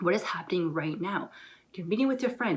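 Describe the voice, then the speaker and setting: A woman speaks at a medium pitch. Her pitch rises and falls in an ordinary way. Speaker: lifestyle vlogger. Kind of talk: motivational talk to camera. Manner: casual, filler-heavy.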